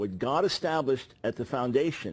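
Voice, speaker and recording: A man's normal speaking voice, medium pitch, moderate pace, very clean recording with a silent background. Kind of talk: interview answer.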